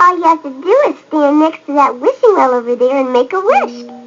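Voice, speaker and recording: In a put-on character voice with a high pitch, the speaker goes at a fairly quick pace while faint music plays in the background. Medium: read story. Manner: gentle, kindly.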